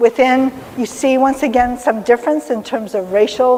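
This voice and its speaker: High-pitched woman at a moderate pace, ordinary pitch variation, over noticeable background noise. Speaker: technology executive and diversity speaker. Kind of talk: lecture.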